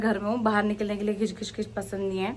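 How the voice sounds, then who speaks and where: A woman is speaking. Her pitch is fairly high. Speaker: travel vlogger. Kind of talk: casual vlog. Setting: outdoors. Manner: loud.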